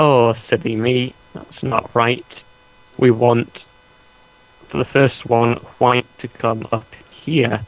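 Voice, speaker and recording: Amid noticeable background noise, a man speaks at a very slow pace with long, frequent pauses and fairly even intonation. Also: medium pitch for a man. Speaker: gaming video host. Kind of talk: tutorial.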